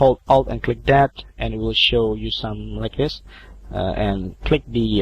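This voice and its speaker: A man speaks with an Indonesian accent. His pace is fairly slow. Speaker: video editing tutorial maker. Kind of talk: tutorial. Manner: halting.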